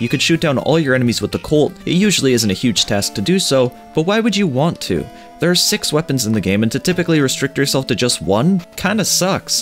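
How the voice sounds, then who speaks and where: A man's voice with very wide pitch swings and very even loudness at a very fast pace, with music in the background. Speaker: game reviewer. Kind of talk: game review voiceover. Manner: sardonic, casual.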